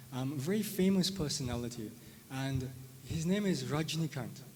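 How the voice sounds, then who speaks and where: This man's voice sits fairly high and comes across somewhat breathy, with ordinary pitch variation. He talks at a moderate pace, and the room echo is audible. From South Africa. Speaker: spirituality teacher. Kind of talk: lecture. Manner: hesitant, many fillers; conversational, tag questions.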